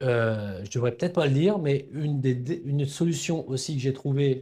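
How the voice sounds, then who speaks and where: The voice has a dark, mellow tone, sounds somewhat breathy, and carries ordinary pitch variation. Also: man. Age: 60s. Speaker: cartoonist and brand founder. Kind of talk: interview conversation. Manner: hesitant, many fillers and repetitions.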